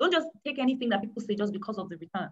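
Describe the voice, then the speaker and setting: The speaker is a woman. Her background is quiet. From Nigeria. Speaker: portfolio manager, chartered accountant; webinar guest. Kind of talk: educational webinar presentation. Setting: online live webinar. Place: home room. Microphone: video call.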